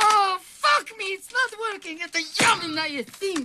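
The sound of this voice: In a put-on character voice, a man talks at a fairly slow pace with extremely high pitch, lively intonation and a bright, sharp tone.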